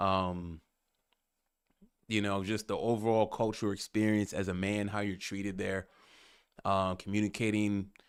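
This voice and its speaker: In an American accent, the speaker holds a monotone, flat intonation on a very clean recording with a silent background. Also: man. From United States. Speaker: podcast host, travel vlogger. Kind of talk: casual monologue. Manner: hesitant, many fillers.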